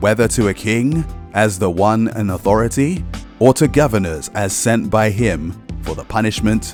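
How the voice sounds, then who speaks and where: With music in the background, a man speaks at a fairly slow pace in a fairly low pitch, his pitch varying in an ordinary way. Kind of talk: scripture reading. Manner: authoritative, commanding.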